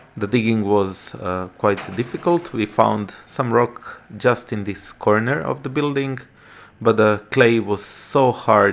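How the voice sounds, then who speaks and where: A man speaks with a non-native accent at a very slow pace. His pitch varies in an ordinary way. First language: not English. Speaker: woodworker and DIY builder. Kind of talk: video narration. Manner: halting, many fillers.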